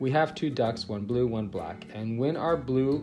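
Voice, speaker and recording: A man's medium-pitched voice with lively intonation at a very slow pace, music in the background. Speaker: teacher. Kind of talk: children's book read-aloud.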